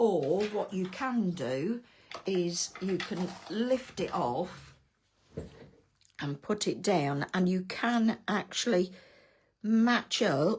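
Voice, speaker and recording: In a put-on character voice, a woman speaks raspy and at medium pitch, with lively intonation, a very slow pace and long, frequent pauses. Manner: loud, close to the mic.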